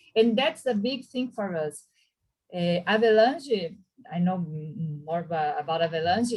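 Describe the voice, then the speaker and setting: Somewhat breathy, a woman with a Portuguese accent talks at a fairly slow pace using very wide pitch swings. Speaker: history professor commenting on a panel. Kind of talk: academic web-seminar comment. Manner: halting, many restarts and fillers.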